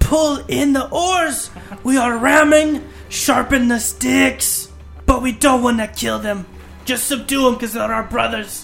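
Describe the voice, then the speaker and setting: Someone performs a put-on character voice at a fairly high pitch and a fairly slow pace. Clear music plays in the background. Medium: actual play. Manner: shouting, commanding, urgent.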